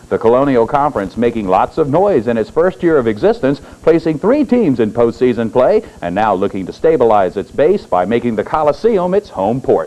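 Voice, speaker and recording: Over music in the background, a man at a medium pitch talks with hardly any pauses and very wide pitch swings. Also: fairly quick pace. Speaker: local TV sports anchor. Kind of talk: local TV news sports report.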